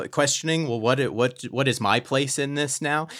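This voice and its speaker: A man with a bright, sharp tone and a fairly high pitch speaks on a very clean recording with a silent background. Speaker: podcast host. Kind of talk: casual chat. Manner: excitable.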